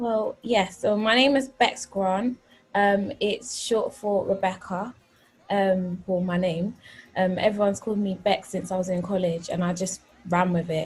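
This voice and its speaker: With a London accent, a woman speaks at a fairly slow pace in a medium-pitched, somewhat breathy voice with fairly even intonation. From North London. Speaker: gospel singer. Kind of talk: interview.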